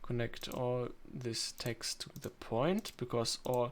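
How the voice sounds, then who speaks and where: Medium pitch from a man, in a non-native accent. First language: not English. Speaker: video editing tutorial maker. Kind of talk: screen-recorded tutorial. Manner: halting, many fillers.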